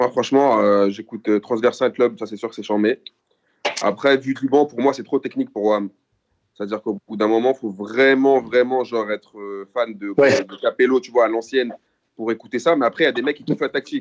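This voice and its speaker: A man with a plain, everyday voice speaks at medium pitch and a fairly quick pace, with fairly even intonation and big swings in loudness. The sound is dry and close with no echo. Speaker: podcast co-host. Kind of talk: casual chat.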